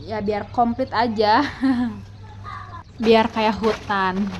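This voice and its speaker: A woman with a West Javanese accent, very slow and flat in a monotone. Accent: Sundanese. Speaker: gardening vlogger, housewife. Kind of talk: casual vlog narration.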